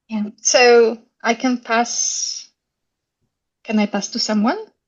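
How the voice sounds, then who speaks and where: A woman speaks in a Polish accent at a very slow pace. Her pitch is fairly high, and her intonation stays fairly even. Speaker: school head. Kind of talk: casual chat.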